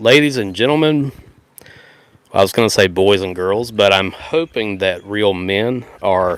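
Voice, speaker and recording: Very slowly, a man speaks at a fairly low pitch with ordinary pitch variation. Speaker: Bible podcaster. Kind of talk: live podcast talk. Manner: loud.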